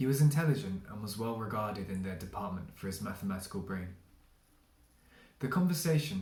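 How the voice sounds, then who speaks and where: A speaker with a southern English accent talks at a fairly quick pace with lively intonation. The voice is somewhat breathy, and there is audible room echo. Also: man. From England, London. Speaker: literary translator. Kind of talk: reading aloud.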